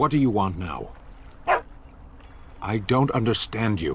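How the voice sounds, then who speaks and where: A put-on character voice from a man at medium pitch, moderate pace, with clear background noise. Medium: video game. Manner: clipped, formal, serious.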